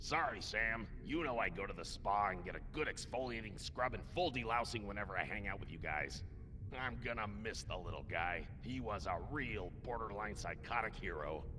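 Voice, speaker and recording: A man puts on a character voice at a medium pitch and a moderate pace. Loud background noise runs underneath. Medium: video game.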